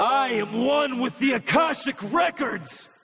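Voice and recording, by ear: A man's put-on character voice, extremely high-pitched and fairly bright, with a slightly husky edge, lively intonation and a fairly slow pace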